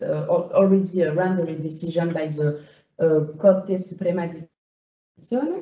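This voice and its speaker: At a moderate pace, someone talks with a non-native accent. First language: non-native English speaker. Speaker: law lecturer. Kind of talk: lecture. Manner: halting, many fillers.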